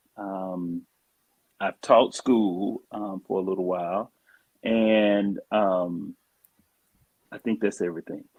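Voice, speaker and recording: Speaking with a Southern US accent, a man has a fairly low pitch and fairly even intonation. He talks at a very slow pace with long, frequent pauses. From US South. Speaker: social worker. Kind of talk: casual chat. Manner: halting, many fillers.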